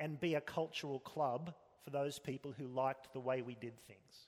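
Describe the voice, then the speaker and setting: A man with an Australian accent. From Australia (Sydney). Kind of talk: interview.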